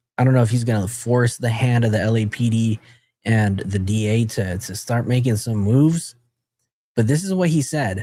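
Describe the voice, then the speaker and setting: The man's voice has a dark, mellow tone and is somewhat breathy. His pitch varies in an ordinary way. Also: medium pitch for a man, moderate pace. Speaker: true crime commentator. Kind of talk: live stream commentary. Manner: casual, conversational.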